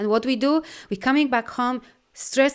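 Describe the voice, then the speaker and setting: On a very clean recording with a silent background, a woman speaks with a Polish accent. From Poland. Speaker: life coach and energy healer. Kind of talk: live video talk to viewers. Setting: live stream with viewer comments. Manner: animated.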